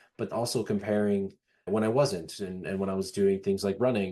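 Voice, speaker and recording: A man with a plain, everyday voice speaks at a fairly low pitch and a fairly quick pace. His pitch varies in an ordinary way. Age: 30s. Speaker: author and motivational speaker. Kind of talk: podcast interview answer.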